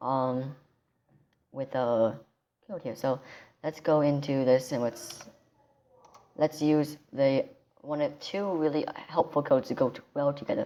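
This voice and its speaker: Quiet and fairly slow, a woman speaks at a very deep, low pitch with fairly even intonation and long, frequent pauses. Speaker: tech tutorial youtuber. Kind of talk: tutorial. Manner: quiet, held-down voice; hesitant, many ums and restarts.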